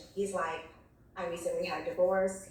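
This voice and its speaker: A woman's medium-pitched voice at a fairly slow pace, with ordinary pitch variation, audible room echo and noticeable background noise. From New York City, the Bronx. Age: 40s. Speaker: nurse on a dating show. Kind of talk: casual storytelling. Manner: voice cracking, close to tears.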